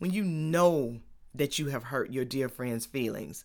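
A woman's very deep, low pitch with ordinary pitch variation, on a very clean recording with a silent background. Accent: Atlanta. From US South, Atlanta, Georgia. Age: young. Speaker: podcast host. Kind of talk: solo faith talk monologue.

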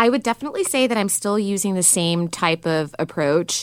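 This is a plain, everyday voice with an American accent. Its pitch variation is ordinary. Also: woman. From New York. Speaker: executive assistant job seeker. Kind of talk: interview. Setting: studio.

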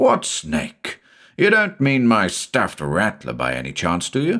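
In a put-on character voice, a man talks slowly at a fairly low pitch with very wide pitch swings, on a very clean recording with a silent background. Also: fairly bright tone.

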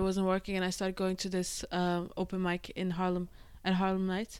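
A woman is heard in a very clean recording with a silent background. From Denmark. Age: 30s. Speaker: comedian. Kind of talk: casual chat.

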